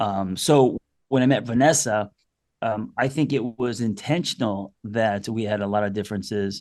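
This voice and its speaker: Against a quiet background, a man with an unremarkable speaking voice talks at a moderate pace in a fairly low pitch with ordinary pitch variation. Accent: American. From New York. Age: 50s. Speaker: therapist. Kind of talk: casual chat.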